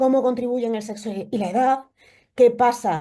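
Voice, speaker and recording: A woman with an Extremaduran accent speaks in a dark, mellow tone. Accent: Extremaduran Spanish, noticeable. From Spain, Extremadura (Cáceres). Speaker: immunology researcher. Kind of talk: lecture. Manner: hesitant, many fillers.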